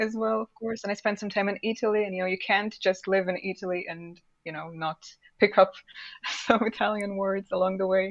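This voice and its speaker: In a Russian accent, a woman speaks at a fairly quick pace with monotone, flat intonation. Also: medium pitch for a woman, big swings in loudness. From Russian Far East. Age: 20s. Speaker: English teacher. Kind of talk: casual interview.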